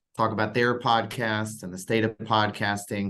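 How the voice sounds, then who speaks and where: Fairly low in pitch and fairly quick, a man talks in an unremarkable speaking voice. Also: quiet background. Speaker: podcast network executive and interview host. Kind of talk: podcast interview host talk.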